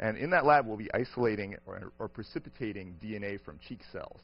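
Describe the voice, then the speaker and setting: This is a man speaking. His pitch sits in the medium range and varies in an ordinary way. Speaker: professor lecturing on a cruise. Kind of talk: lecture. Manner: fast when excited.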